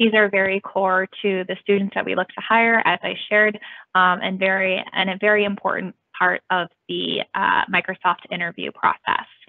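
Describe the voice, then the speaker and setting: With an American accent, a woman talks in an ordinary speaking voice at medium pitch and a moderate pace. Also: fairly even intonation. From United States. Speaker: university recruiter. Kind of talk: presentation.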